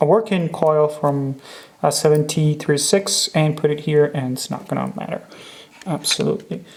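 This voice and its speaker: A soft-spoken man at a moderate pace, ordinary pitch variation, over noticeable background noise. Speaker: watch restorer. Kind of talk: tutorial. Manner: halting.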